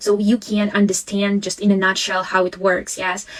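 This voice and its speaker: Talking at a moderate pace, a woman uses a medium pitch with a Russian accent. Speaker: language teacher and education consultant. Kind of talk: live webinar Q&A. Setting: live stream. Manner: halting.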